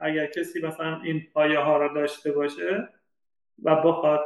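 With a fairly high pitch, the man speaks at a moderate pace. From Iran, Shiraz. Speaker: data scientist. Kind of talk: interview.

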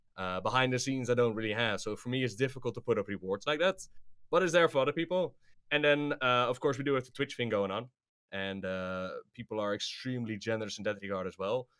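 Speaking at a very fast pace, a man with a medium pitch uses lively intonation in a very clean recording with a silent background. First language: not English. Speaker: YouTuber and streamer. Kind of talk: casual interview chat.

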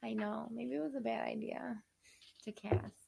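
A woman's fairly low voice with vocal fry and very wide pitch swings. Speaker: podcast host. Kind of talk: casual chat.

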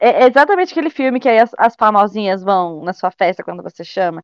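Her delivery is very fast. This woman's voice sits fairly high. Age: 20s. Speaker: psychology student. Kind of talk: casual chat.

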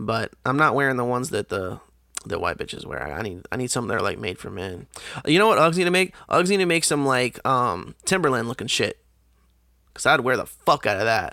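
With an animated, bright and sharp tone, a man at medium pitch speaks at a moderate pace, his pitch swinging very widely, with vocal fry and long, frequent pauses. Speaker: podcast host. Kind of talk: casual solo monologue. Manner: frequent fillers and restarts.

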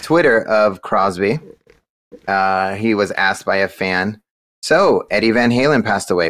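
Lively intonation marks this man's speech in an American accent at a medium pitch. He keeps a moderate pace on a very clean recording with a silent background. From California. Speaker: podcast co-host. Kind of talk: casual chat.

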